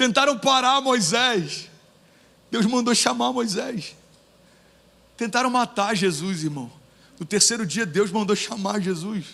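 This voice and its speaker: With a raised, projected voice and audible room echo, a man speaks at a high pitch and a fairly slow pace, his intonation lively and his pauses long and frequent. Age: 30s. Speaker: pastor. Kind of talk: sermon. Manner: animated.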